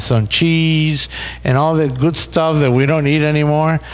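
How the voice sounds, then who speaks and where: The speaker has a Puerto Rican accent and talks at a moderate pace. Background noise is noticeable. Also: man. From Puerto Rico. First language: Spanish. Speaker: pastor. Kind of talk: seminar talk. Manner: halting, repeats words.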